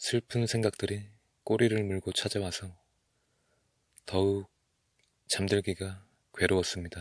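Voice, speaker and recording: Against a quiet background, a man speaks very slowly in a fairly low, flat monotone, with long, frequent pauses. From Korea. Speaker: ASMR creator. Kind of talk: ASMR talk to listener. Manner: soft-spoken.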